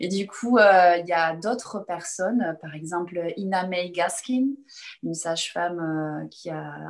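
A woman speaks here. Her pitch sits fairly low. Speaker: chiropractor. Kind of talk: interview.

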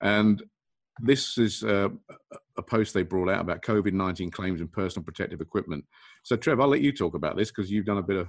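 The delivery is very fast. The speaker has an English accent. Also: man. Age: 50s. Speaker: restraint training consultant. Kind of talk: casual video discussion.

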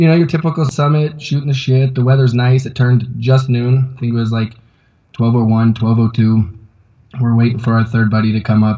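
A somewhat breathy voice with an American accent, fairly quick in pace and fairly even in intonation. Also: man, medium pitch for a man. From Colorado. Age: 30s. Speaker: climber and backcountry skier. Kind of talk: interview testimony. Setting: video call from a yoga studio. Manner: halting, many fillers. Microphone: unstable internet connection; inside a fort of yoga mats against echo.

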